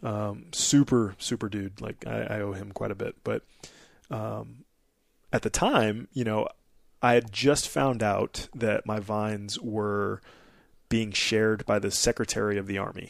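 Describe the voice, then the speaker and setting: A man with an unremarkable speaking voice talks at a fairly slow pace, his fairly low pitch carried in a fairly even intonation. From Nebraska. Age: 30s. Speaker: Air Force officer and military instructor. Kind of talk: casual chat.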